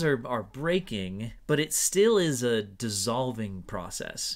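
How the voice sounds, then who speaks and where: With very wide pitch swings, a man talks amid audible room echo. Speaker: high school chemistry teacher. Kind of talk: online class lecture. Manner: halting, many fillers and restarts.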